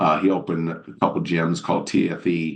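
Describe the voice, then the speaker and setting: With monotone, flat intonation, a man speaks at a very deep, low pitch. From Washington DC area, US. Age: 60s. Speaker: natural bodybuilder. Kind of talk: podcast interview. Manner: casual, filler-heavy.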